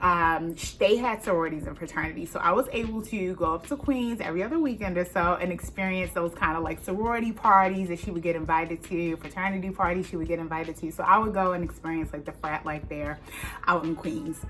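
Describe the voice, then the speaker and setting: In a Baltimore accent, a woman with a fairly low pitch speaks at a very fast pace with hardly any pauses. Her pitch variation is ordinary, and noticeable background noise runs underneath. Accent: Baltimore accent, elongated vowels. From Baltimore, Maryland. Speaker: youtuber, fashion designer. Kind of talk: casual Q&A vlog. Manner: casual, many fillers.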